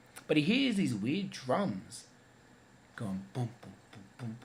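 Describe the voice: There is audible room echo around this man's voice. He speaks at a moderate pace with big pitch swings.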